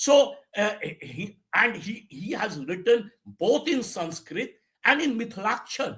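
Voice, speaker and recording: A man with an Indian accent speaks very slowly at a high pitch. His pitch swings very widely, and his loudness swings a lot. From India, Bihar; grew up in Bengal. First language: Maithili. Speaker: editor and online news host. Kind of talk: political commentary monologue. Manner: halting with fillers.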